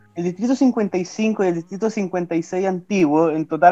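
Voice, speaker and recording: Here a man speaks with a high pitch. His pitch varies in an ordinary way. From southern Chile (Osorno). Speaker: political candidate. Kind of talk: interview. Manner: halting, frequent repetitions.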